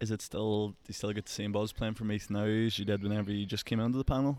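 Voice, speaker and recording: A man with an Irish accent speaks at a very fast pace and a fairly low pitch with fairly even intonation, on a very clean recording with a silent background. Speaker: podcast host, Gaelic footballer. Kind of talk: casual interview chat.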